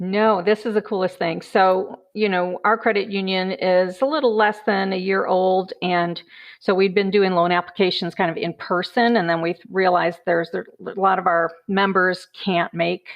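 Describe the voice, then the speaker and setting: A woman speaks at a moderate pace with hardly any pauses. Hers is a plain, everyday voice, medium in pitch with fairly even intonation. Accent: American. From US Midwest, Chicago. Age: 60s. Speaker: credit union banker. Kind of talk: casual interview.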